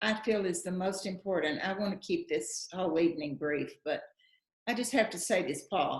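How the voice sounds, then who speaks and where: Speaking at a fairly slow pace, a woman has a strong Texan accent. Her voice is somewhat breathy with lively intonation. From West Texas, Lubbock. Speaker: actress and writer. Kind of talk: interview at public talk. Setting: live event with online Q&A.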